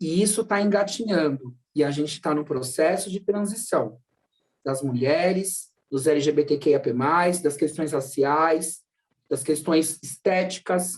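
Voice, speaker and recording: A man talks with a high pitch. His pace is fairly slow. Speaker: psychologist. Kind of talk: online lecture.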